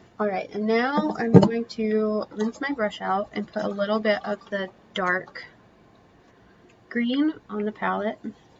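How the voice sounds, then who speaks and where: A soft-spoken woman talks in a fairly high pitch with fairly even intonation. Noticeable background noise sits behind her. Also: fairly slow pace. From Kentucky. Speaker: painting instructor. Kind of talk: live painting tutorial. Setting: live stream.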